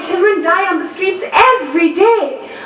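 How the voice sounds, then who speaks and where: A woman projects a raised voice with lively intonation at a fairly quick pace. Background noise is noticeable. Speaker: spoken word poet. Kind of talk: spoken word poetry performance.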